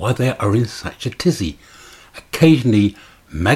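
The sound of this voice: The speaker's unforced reading voice moves with lively intonation.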